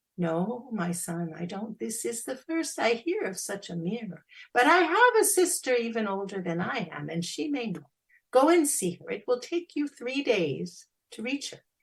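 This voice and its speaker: This female-sounding voice is a put-on character voice, fairly high in pitch. It moves at a moderate pace with very wide pitch swings. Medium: read story.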